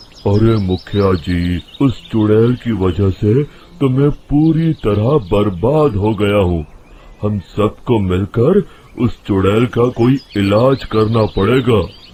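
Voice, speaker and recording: A man does a put-on character voice, rumbling and fairly low in pitch, speaking very slowly with very even loudness. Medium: cartoon. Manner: grumbling.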